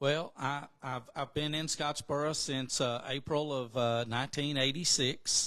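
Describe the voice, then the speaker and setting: A man with an Alabama accent, monotone and flat, at a fairly slow pace against a quiet background. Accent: Southern US (Alabama). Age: 60s. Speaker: radio station owner and sports announcer. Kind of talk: casual podcast interview. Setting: makeshift studio.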